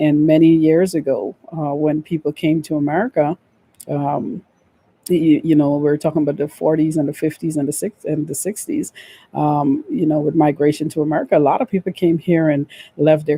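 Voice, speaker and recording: Recorded with a dry, close sound with no echo, a woman with a Guyanese accent speaks at a moderate pace in a very deep, low pitch, her dark, mellow tone carrying fairly even intonation. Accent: Guyanese accent, kept. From Guyana. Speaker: vlogger on relocation. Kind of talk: casual talk to camera. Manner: many fillers (um, uh).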